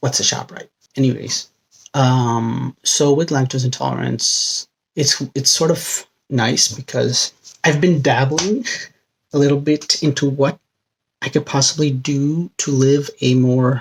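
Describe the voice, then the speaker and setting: A man speaks quietly at a fairly slow pace, his somewhat breathy voice fairly high in pitch and his intonation fairly even. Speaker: vlogger. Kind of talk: casual vlog monologue. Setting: home bedroom. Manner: speaking quietly.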